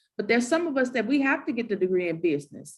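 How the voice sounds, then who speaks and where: With a Southern US accent, a woman speaks in a fairly high, somewhat breathy voice that swings very widely in pitch. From US South. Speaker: moderator of university panel. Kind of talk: panel discussion.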